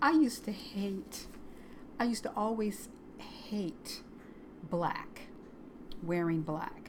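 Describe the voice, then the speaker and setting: A woman at a very slow pace, with long, frequent pauses and audible room echo. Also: medium pitch for a woman. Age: 60s. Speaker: crochet video creator. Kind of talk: casual personal vlog. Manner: halting, with many fillers.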